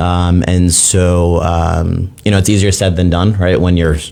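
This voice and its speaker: A man's very deep, low voice, monotone and flat, at a fairly slow pace with very even loudness, audible room echo and noticeable background noise. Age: 30s. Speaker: father sharing his story. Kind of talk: interview testimony. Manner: halting, many fillers.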